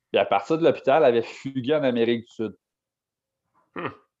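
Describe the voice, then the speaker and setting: He speaks at a moderate pace with a medium pitch. His intonation stays fairly even. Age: 20s. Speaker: podcast co-host. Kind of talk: casual chat.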